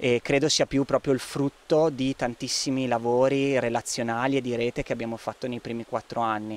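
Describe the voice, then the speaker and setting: A man talks at medium pitch and a fairly quick pace, in a flat monotone. He hardly pauses, and the sound is dry with no echo. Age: 30s. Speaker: resident of a repopulated village, community project organiser. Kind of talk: interview; interview answer. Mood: calm, thoughtful. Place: garden. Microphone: handheld.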